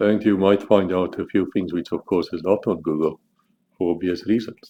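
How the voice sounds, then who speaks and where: A man with a South African accent speaks at a moderate pace in a very deep, low voice, dark and mellow in tone, with fairly even intonation. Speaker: author. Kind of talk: casual monologue about his book.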